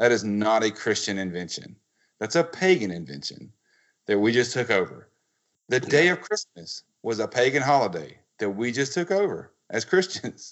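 At a moderate pace, a man speaks at medium pitch with very wide pitch swings. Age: 30s. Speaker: podcast host. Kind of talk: casual chat.

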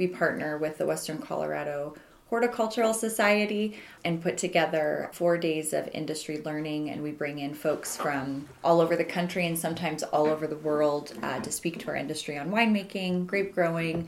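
A woman speaks at a fairly quick pace in a very deep, low pitch with ordinary pitch variation. Noticeable background noise runs underneath. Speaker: wine trade association executive director. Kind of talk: casual interview. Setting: office.

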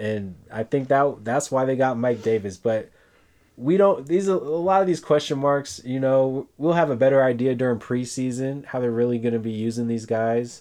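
Moderately paced male speech in a dark, mellow tone, ordinary pitch variation, against a quiet background. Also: medium pitch for a man. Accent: American. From San Francisco Bay Area, California. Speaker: fantasy football podcast co-host. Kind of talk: casual chat. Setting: in a hot room in a house without air conditioning.

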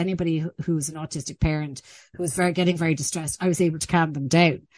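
In an Irish accent, a woman speaks at a very fast pace and a fairly low pitch, with a dry, close sound with no echo and a quiet background. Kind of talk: interview. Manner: halting.

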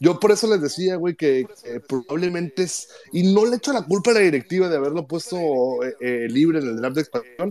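A man's high-pitched voice at a fairly quick pace, full of lively intonation. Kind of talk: casual chat. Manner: animated.

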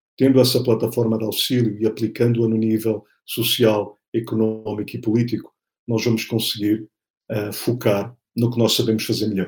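Speaking at a moderate pace, a man with a medium pitch sounds somewhat breathy and keeps a monotone, flat intonation. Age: 40s. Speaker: political scientist and speaker. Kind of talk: interview.

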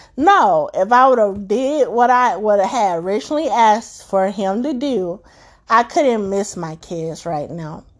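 Over a quiet background, a woman with an ordinary speaking voice talks at a fairly slow pace, with a fairly high pitch and lively intonation. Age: 30s. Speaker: podcast host sharing motherhood experiences. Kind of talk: personal monologue.

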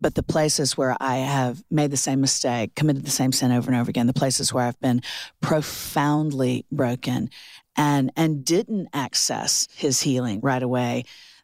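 A woman with an American accent speaks at a moderate pace in a very deep, low voice, with fairly even intonation and very even loudness. The sound is dry and close with no echo, in a very clean recording with a silent background. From Florida. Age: 50s. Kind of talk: casual chat.

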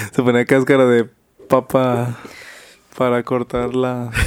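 With long, frequent pauses, a man talks at medium pitch. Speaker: podcast host. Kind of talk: casual chat.

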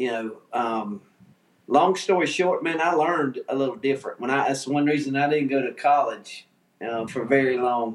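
A man's fairly high-pitched voice with ordinary pitch variation, a plain, everyday voice. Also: moderate pace. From US South, Georgia. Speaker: barbecue association figure. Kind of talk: casual interview. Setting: video call.

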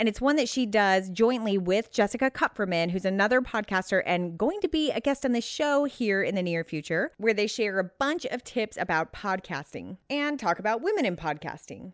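In an ordinary speaking voice, a woman with a fairly high pitch speaks at a moderate pace with lively intonation and hardly any pauses, the sound dry and close with no echo against a quiet background. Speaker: podcast host. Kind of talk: interview, casual conversational.

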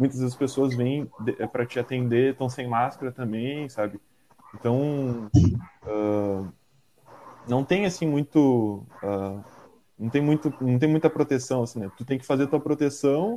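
Pausing long and often, a man at medium pitch talks at a fairly slow pace with ordinary pitch variation. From Porto Alegre, southern Brazil. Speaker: delivery worker, organizer. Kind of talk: casual interview.

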